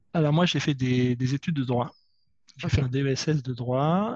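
The recording is dry and close, without any echo. A man talks at a medium pitch, his intonation fairly even. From southern France. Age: 40s. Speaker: IT worker and climate volunteer. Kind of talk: casual interview. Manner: halting, many hesitations.

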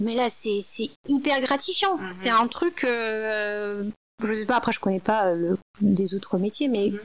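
Fairly high-pitched female speech, fairly slow in pace, with ordinary variation in pitch. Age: 30s. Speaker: architect. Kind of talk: interview. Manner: halting.

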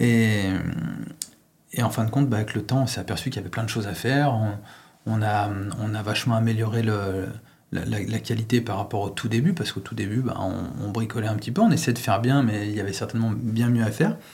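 A somewhat breathy man at a very fast pace, with fairly even intonation and long, frequent pauses. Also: fairly low pitch for a man. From France, Lyon. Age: 40s. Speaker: pizza chef and franchise owner. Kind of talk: interview. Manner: hesitant, many fillers.

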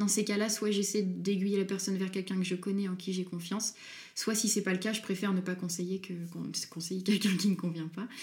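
A very fast, somewhat breathy woman's voice at medium pitch, flat and monotone in intonation. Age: 20s. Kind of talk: interview. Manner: hesitant.

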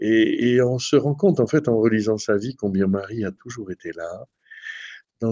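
With a southern French accent, a man speaks at a fairly slow pace. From southern France. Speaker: priest, shrine rector. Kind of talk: radio interview. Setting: at the shrine.

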